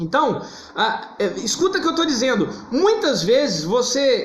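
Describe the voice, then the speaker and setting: A man speaks loudly with very wide pitch swings. Room echo is audible. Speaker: therapist / psychology teacher. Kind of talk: live-stream talk to viewers. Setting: live stream on Instagram. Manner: loud, emphatic.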